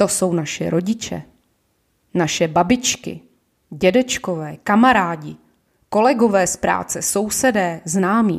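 A woman's medium-pitched voice with vocal fry, ordinary pitch variation and a fairly slow pace, in a very clean recording with a silent background. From Ostrava, Czechia. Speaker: podcast host, shop manager. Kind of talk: political monologue podcast.

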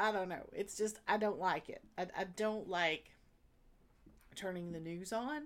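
Speaking in a Southern US accent at a fairly slow pace, a woman with a medium pitch sounds animated and leaves long, frequent pauses. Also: ordinary pitch variation. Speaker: podcast host. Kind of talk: casual solo video monologue. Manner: chatty, animated, laughs often.

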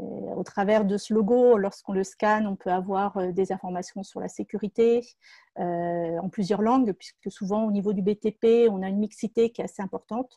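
Dry and close with no echo, the sound sits over a quiet background. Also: woman, medium pitch for a woman, fairly even intonation, moderate pace. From France, Seine-et-Marne. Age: 50s. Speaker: entrepreneur. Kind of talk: personal testimony. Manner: halting, many hesitations.

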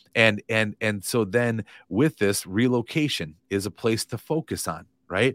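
In a very clean recording with a silent background and a dry, close sound with no echo, a man with an American accent and an unremarkable speaking voice talks fairly slowly at a medium pitch with ordinary pitch variation. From US Midwest, Madison, Wisconsin. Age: 40s. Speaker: real estate coach. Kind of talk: interview.

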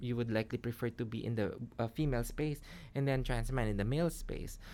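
A woman speaks at a very deep, low pitch in a very clean recording with a silent background. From Philippines. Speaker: gender studies lecturer. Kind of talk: interview.

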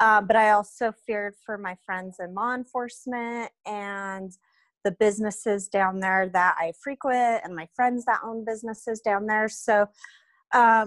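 An ordinary speaking voice from a woman with an American accent, fairly high in pitch, at a fairly slow pace with fairly even intonation and a dry, close sound with no echo. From Reno, Nevada. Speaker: guest. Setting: video call.

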